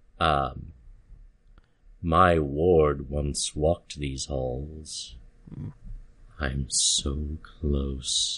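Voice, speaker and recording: A man's put-on character voice, very deep and rumbling, at a very slow pace with long, frequent pauses. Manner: calm, menacing.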